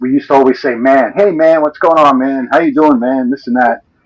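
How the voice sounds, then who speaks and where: A man talks with a Northeastern US accent. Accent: Northeast US. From New York City (Brooklyn, Staten Island). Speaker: livestream participant. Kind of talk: casual chat. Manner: animated.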